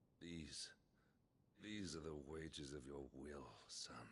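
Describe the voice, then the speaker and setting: A man performs a put-on character voice with a very deep, low pitch. He speaks fairly slowly over clear background noise. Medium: video game.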